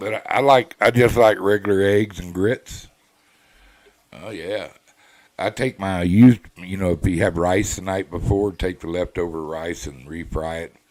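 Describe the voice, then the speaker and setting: A man with a Texas accent talks with a very deep, low pitch and ordinary pitch variation. His pace is moderate, and his loudness swings widely. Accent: Southern US (Texas). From South Texas. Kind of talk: casual chat.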